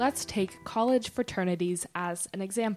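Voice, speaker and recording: In a very clean recording with a silent background, a woman talks at a moderate pace with an ordinary speaking voice and ordinary pitch variation. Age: 20s. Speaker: student podcast co-host. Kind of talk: scripted narration.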